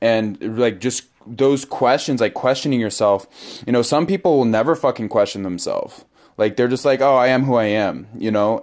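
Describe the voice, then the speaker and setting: At a moderate pace, a man speaks in a plain, everyday voice with medium pitch and ordinary pitch variation. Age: 20s. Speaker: podcast host. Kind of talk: casual chat.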